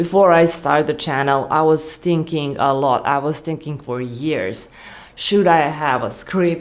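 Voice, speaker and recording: A woman with a non-native accent speaks at a fairly slow pace in a very deep, low pitch with ordinary pitch variation. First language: not English. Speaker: YouTuber. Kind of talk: unscripted vlog monologue. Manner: rambling, halting with restarts.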